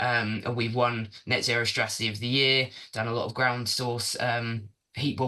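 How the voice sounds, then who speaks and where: A man's medium-pitched voice, bright and sharp in tone, with a monotone, flat intonation. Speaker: sustainability consultant. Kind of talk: presentation. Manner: fast.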